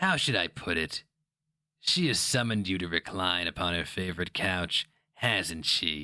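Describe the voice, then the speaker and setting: A man speaks in a put-on character voice at a moderate pace, his pitch very deep and low, on a very clean recording with a silent background. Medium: read story. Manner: sneering, insinuating.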